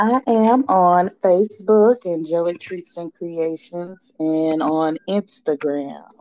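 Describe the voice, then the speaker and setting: Speaking in a Southern US accent, a woman goes at a very slow pace with hardly any pauses, a fairly low pitch and ordinary pitch variation, in a dry, close sound with no echo. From Nashville, Tennessee. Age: 30s. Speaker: small business owner. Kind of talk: interview.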